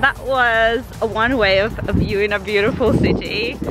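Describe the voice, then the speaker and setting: Clear music sits in the background of a dry sound with no echo. The voice moves at a fairly slow pace with ordinary pitch variation. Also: woman. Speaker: travel vlogger. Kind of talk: casual vlog chat. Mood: excited, happy. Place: open country. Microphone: phone near.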